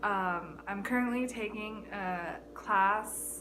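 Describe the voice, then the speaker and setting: A woman with an American accent speaks at a medium pitch with fairly even intonation, and audible room echo surrounds her voice. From US. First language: Chinese. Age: 20s. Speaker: YouTuber, college student. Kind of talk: casual vlog monologue. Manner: halting, many fillers.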